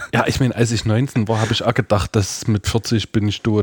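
At a moderate pace and medium pitch, a man speaks in a dry, close sound with no echo over noticeable background noise. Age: 30s. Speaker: church youth worker. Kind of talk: casual chat.

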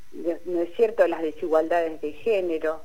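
Noticeable background noise surrounds a woman who speaks at a fairly slow pace with a fairly low pitch. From Argentina, Balcarce (Buenos Aires province). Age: 60s. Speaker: sociologist and feminist activist. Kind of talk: radio interview.

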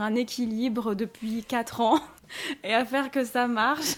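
A woman talks in a high pitch at a fairly slow pace. Her intonation stays fairly even. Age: 20s. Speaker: self-published author and online content creator. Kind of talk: casual interview chat.

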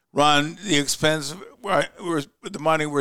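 His tone bright and sharp with vocal fry, a man speaks at a fairly high pitch with ordinary pitch variation. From US, Croatian-American family. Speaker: podcast host. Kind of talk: talk show interview.

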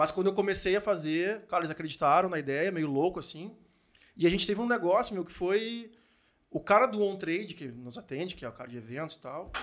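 The speech comes at a very fast pace with lively intonation. Its loudness swings in big ways. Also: man. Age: 40s. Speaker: podcast host and entrepreneur. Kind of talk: casual chat.

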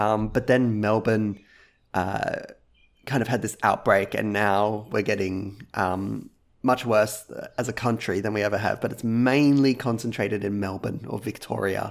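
With an Australian accent, a man speaks at a fairly slow pace with a fairly low pitch and fairly even intonation. The recording is very clean, with a silent background. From Australia, Gold Coast, Queensland. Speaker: video game music YouTuber. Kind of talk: casual interview.

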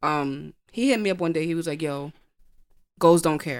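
Over a silent background, a woman speaks in a New York accent on a very clean recording. Her pitch is very deep and low, with ordinary pitch variation. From Brooklyn, New York. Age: 20s. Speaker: poet. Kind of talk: casual chat.

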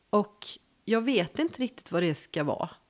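A woman with a West Swedish accent speaks at a fairly quick pace, her fairly high voice swinging very widely in pitch. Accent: West Coast Swedish. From Gothenburg, western Sweden. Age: 50s. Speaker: journalist. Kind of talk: casual interview.

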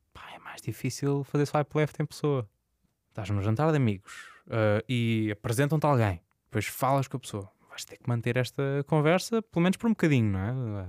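A man speaks in an ordinary speaking voice at medium pitch and a moderate pace, with lively intonation. The sound is dry and close with no echo, in a very clean recording with a silent background. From Azores, Portugal. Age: 20s. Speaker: journalist. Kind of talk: casual interview.

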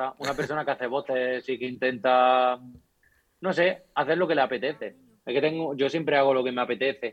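A man at medium pitch with fairly even intonation and a fairly quick pace. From rural Córdoba, Andalusia. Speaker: YouTuber and video editor. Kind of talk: casual chat.

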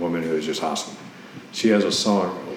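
The intonation is monotone and flat. Noticeable background noise is present. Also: man. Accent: American. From Ohio, US Midwest. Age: 40s. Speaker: Navy veteran and adult ballet student. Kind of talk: interview, personal story.

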